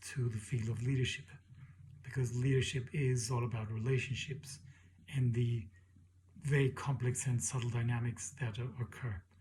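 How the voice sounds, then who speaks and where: Somewhat breathy, a man at medium pitch keeps a fairly even intonation and a moderate pace. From Mexico. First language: Spanish. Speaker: PhD student and leadership educator. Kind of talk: self-introduction for a class. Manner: hesitant, with many fillers.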